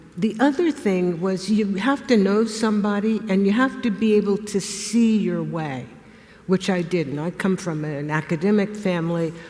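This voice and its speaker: A woman speaks at a fairly slow pace with lively intonation. Noticeable background noise runs under her voice. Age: 70s. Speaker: retired historian turned artist. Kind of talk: interview on stage.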